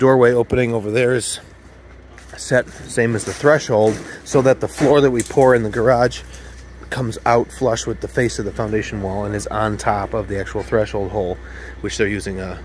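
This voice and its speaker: The voice moves at a moderate pace in a dry sound with no echo, with light background noise behind it. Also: man. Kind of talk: casual vlog chat. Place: garden. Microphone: phone near.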